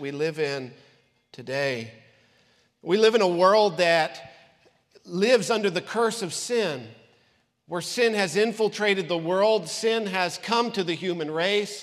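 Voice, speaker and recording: At a fairly slow pace, a man with a high pitch speaks with ordinary pitch variation. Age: 40s. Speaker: pastor. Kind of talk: sermon. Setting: church. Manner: animated.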